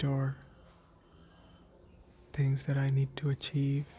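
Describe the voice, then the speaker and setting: Soft-spoken and somewhat breathy, a man talks at a fairly slow pace with a fairly high pitch. His tone is dark and mellow, and his intonation is monotone and flat. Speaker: existential coach. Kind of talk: gentle ASMR-style relaxation talk. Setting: outdoors in a quiet, breezy place. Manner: gentle, calming, soft.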